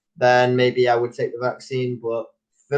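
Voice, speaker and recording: A man with a Manchester accent and a medium pitch. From northern England, Manchester. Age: young. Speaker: online English tutor. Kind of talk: casual chat. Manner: energetic.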